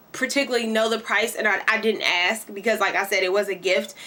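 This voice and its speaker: Speaking in a Kentucky accent, a woman with a fairly high pitch and fairly even intonation keeps a moderate pace. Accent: country Kentucky. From Kentucky, US South. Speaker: beauty vlogger and hairstylist. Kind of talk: product review tutorial. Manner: casual, many fillers.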